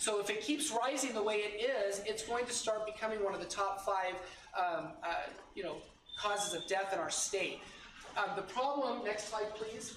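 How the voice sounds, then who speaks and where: Loud and high-pitched, a man speaks at a moderate pace with ordinary pitch variation, amid noticeable background noise and audible room echo. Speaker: nurse educator. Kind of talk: presentation to parents.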